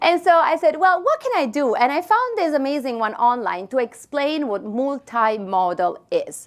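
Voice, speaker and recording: The speaker has an Italian accent and a moderate pace, with hardly any pauses. The pitch swings very widely. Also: woman, high pitch for a woman. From Italy. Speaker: marketing expert, keynote speaker. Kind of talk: keynote talk. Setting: stage with audience.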